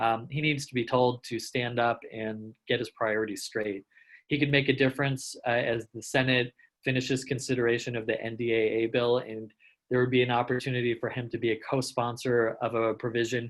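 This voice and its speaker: A man's medium-pitched voice, monotone and flat, at a fairly quick pace. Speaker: anti-hunger policy advocate. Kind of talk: webinar presentation. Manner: fast.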